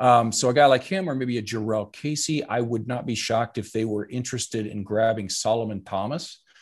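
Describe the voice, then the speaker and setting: A man talks in an ordinary speaking voice at a medium pitch. His pace is fairly quick, with hardly any pauses. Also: ordinary pitch variation. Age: 50s. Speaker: actor and comedian, football writer. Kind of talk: casual chat.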